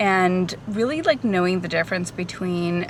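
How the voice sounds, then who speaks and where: With noticeable background noise behind her, a woman talks at a moderate pace and medium pitch with ordinary pitch variation. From born in Portugal, Portuguese parents. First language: Portuguese. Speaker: hairstylist and vlogger. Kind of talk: casual Q&A vlog. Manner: casual, many fillers.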